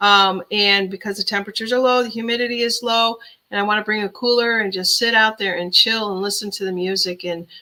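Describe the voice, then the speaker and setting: Speaking at a fairly quick pace, a woman uses a medium-pitched voice with a bright, sharp tone and fairly even intonation. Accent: Chicago. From Chicago area, Illinois. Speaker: livestream host. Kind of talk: casual live-stream chat. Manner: relaxed, chatty with fillers.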